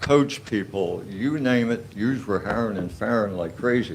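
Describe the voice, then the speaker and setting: A man's voice, medium in pitch, carries audible room echo. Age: 80s+. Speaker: resident speaking at public comment. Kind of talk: public comment at borough council meeting. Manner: halting, repetitive.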